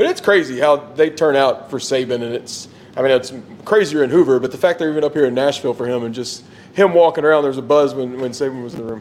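Over noticeable background noise, the speech goes at a very fast pace with ordinary pitch variation and big swings in loudness. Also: man, fairly high pitch for a man. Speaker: sports podcast co-host. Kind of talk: casual chat. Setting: outdoors.

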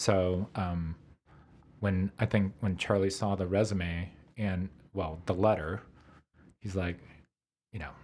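Somewhat breathy and very deep, a man's low voice holds fairly even intonation in a very clean recording with a silent background. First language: Korean. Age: 50s. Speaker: chef and restaurateur. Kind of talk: casual interview chat. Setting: studio.

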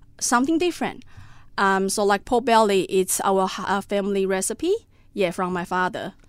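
Over a silent background in a very clean recording, a woman with a Taiwanese accent talks at a moderate pace and medium pitch with ordinary pitch variation. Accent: Taiwanese Mandarin-accented English. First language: Mandarin Chinese. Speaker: cafe owner. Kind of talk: casual interview. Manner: halting, with many fillers.

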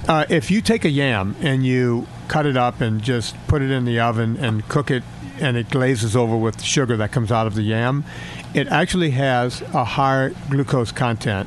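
A medium-pitched male voice at a moderate pace with very even loudness, against noticeable background noise. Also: ordinary pitch variation. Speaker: fitness and nutrition coach. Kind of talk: casual chat. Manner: animated.

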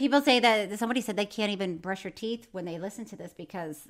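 An American accent marks this woman's medium-pitched voice. She talks at a fairly quick pace with lively intonation. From Florida. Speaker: podcast co-host. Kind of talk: casual chat.

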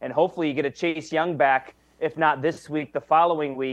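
In a dry, close recording with no echo, a man with an unremarkable speaking voice talks at a fairly quick pace, fairly high in pitch, with fairly even intonation. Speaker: sports reporter. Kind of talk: casual sports talk interview.

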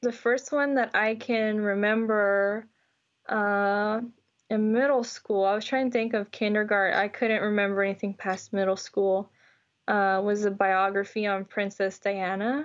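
A woman with an American accent speaks at a fairly slow pace in an unremarkable speaking voice, her loudness very even throughout. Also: medium pitch for a woman, fairly even intonation. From Houston, Texas. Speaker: geochemistry PhD student. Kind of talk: casual interview.

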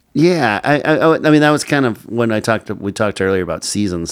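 A man's very fast speech with very wide pitch swings, on a very clean recording with a silent background. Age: 50s. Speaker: podcast host. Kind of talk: interview.

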